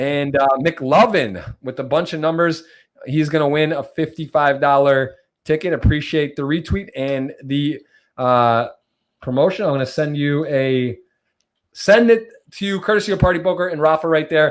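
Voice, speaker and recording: In an American accent, a man with a plain, everyday voice speaks at a moderate pace with a fairly high pitch. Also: ordinary pitch variation. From US Midwest, Michigan. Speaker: podcast host, poker player. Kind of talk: casual interview chat.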